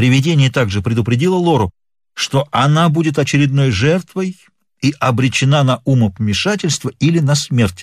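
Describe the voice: The clip is plain reading aloud. Pitch varies in an ordinary way over a quiet background.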